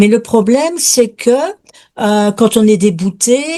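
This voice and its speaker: At a very slow pace, a woman with a dark, mellow tone uses lively intonation. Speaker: watercolour painter, student. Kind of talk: question in webinar.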